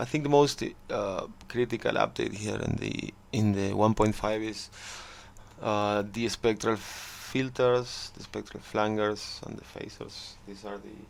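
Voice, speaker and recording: Speaking fairly slowly with a non-native accent, a man uses a fairly low pitch and fairly even intonation, his loudness swinging widely. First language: not English. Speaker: music production tutor. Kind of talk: tutorial. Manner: halting, many fillers.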